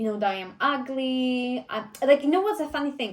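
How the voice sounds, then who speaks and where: In a Polish accent, a woman speaks at a fairly quick pace with ordinary pitch variation. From Poland. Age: 20s. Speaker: vlogger and personal trainer. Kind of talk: casual Q&A vlog. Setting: filmed by a friend behind the camera.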